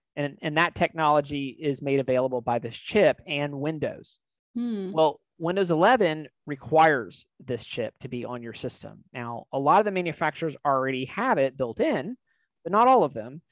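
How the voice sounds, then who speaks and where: Against a quiet background with a dry sound and no echo, a man speaks at a moderate pace with lively intonation. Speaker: tech company host. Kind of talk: explanatory tech talk. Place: home room. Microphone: headset.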